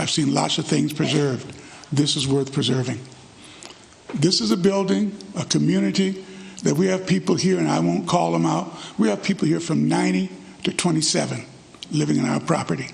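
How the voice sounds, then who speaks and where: In an American accent, a man speaks fairly quickly at a fairly high pitch with very wide pitch swings and long, frequent pauses, over noticeable background noise with audible room echo. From US South. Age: 80s+. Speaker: resident speaking at public comment. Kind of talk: public comment at city council meeting.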